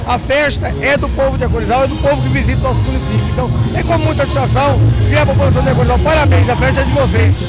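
Very fast-paced speech over background music. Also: man. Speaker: interviewee. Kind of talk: interview answer. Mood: proud, celebratory. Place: street. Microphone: handheld.

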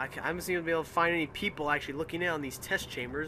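A man is speaking. His pace is very fast. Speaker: gaming video creator. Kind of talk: let's play commentary. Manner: animated.

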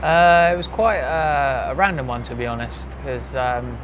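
A man is speaking at a moderate pace. Noticeable background noise is present. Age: 20s. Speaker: professional boxer. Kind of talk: interview.

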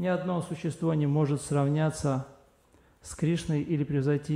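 His dark, mellow voice moves at a moderate pace with fairly even intonation. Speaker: lecture interpreter. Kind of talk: reading scripture commentary aloud. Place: hall.

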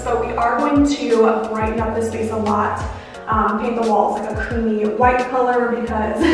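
Clear music plays behind a woman whose voice carries strong room echo. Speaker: vlogger. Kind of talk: casual vlog chat. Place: empty room.

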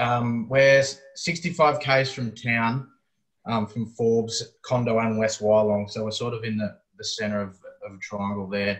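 A man with a fairly low pitch talks against a quiet background, his pitch varying in an ordinary way. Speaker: presenter. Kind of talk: webinar presentation. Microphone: video call.

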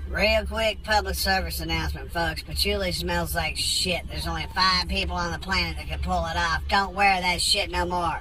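A man talks at a moderate pace with hardly any pauses. The sound is dry with no echo, over light background noise. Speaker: comedic rant vlogger. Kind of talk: profane comedic angry rant. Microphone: phone near.

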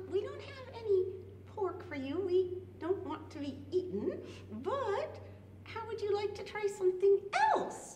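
A woman performs a cartoonish character voice at an extremely high pitch and a moderate pace, with long, frequent pauses, slight echo and clear background noise. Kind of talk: children's puppet show. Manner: indignant, playful.

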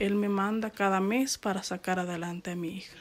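A woman speaks in a plain, everyday voice at medium pitch and a moderate pace. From Mexico, Jalisco. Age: 30s. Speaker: deported migrant, former farm worker. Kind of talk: testimony.

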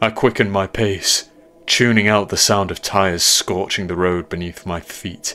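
Fairly even intonation in a plain read-aloud delivery

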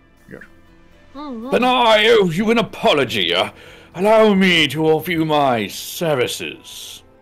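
Someone uses a put-on character voice at a middle pitch, talking at a fairly slow pace. Faint music plays in the background. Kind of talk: comic game dub acting. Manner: formal, challenging, gallant.

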